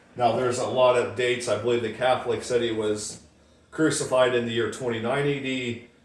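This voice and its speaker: There is noticeable background noise and audible room echo. Over it, a man talks at a fairly quick pace with a medium pitch and monotone, flat intonation. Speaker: YouTube Bible prophecy commentator. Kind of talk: casual vlog monologue. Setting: home, windows open. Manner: fast; casual, filler-heavy.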